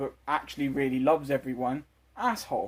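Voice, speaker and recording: A man speaks with a British accent. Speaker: toy collector and custom figure maker. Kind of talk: casual video commentary. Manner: stuttering, halting.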